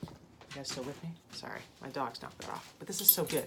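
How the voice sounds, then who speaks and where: Female speech at a moderate pace, amid noticeable background noise and audible room echo. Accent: American. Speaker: triathlete vlogger. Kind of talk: casual vlog. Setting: home office. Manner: hesitant with fillers.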